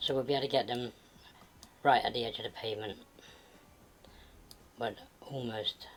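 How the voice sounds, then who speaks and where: Someone with a British accent talks at a fairly quick pace yet takes long, frequent pauses. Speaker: gaming video creator. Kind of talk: gameplay tutorial commentary. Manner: sped up, fast.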